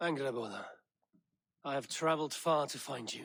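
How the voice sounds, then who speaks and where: This is a put-on character voice, raspy in sound. It goes at a moderate pace. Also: man, fairly high pitch for a man. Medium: video game. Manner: grave, formal.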